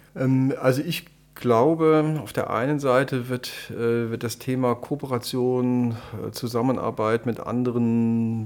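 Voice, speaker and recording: Noticeable background noise sits behind a man speaking at a medium pitch. He talks at a fairly slow pace with fairly even intonation. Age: 50s. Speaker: nursing school director. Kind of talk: interview.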